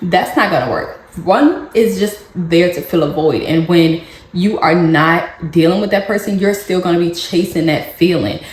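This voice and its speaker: Amid audible room echo and noticeable background noise, a woman with a fairly low pitch keeps a moderate pace and ordinary pitch variation. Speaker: parenting vlogger. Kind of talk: casual advice vlog.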